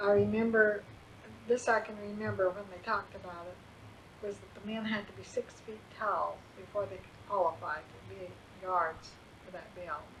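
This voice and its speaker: A woman with an American accent, fairly even intonation, big swings in loudness and long, frequent pauses over noticeable background noise. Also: medium pitch for a woman, moderate pace. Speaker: grandmother reading her memoirs. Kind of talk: memoir reading. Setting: home recording.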